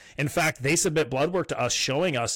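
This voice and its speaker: This is a plain, everyday voice with ordinary pitch variation at a moderate pace. The recording is very clean, with a silent background. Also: man. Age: 30s. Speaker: supplement company founder. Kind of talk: casual interview.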